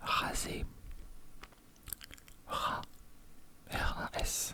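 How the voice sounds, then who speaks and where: Whispering from a man in a relaxed tone, with noticeable background noise. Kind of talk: ASMR crossword solving, casual talk to camera. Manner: quiet, relaxed, thinking aloud.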